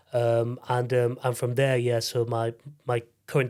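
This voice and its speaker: Recorded very cleanly against a silent background, a man talks at a moderate pace with a medium pitch. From northern England, Leeds (Yorkshire). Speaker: sitar player and composer. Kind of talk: interview, casual conversation. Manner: hesitant, many fillers and repeats.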